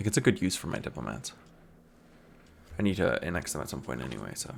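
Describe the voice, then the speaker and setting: With an American accent and vocal fry, a man speaks at a very deep, low pitch, with very wide pitch swings and big swings in loudness. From American, grew up partly overseas. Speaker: video game let's play creator. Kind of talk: casual gameplay commentary. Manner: casual, many fillers and repetitions.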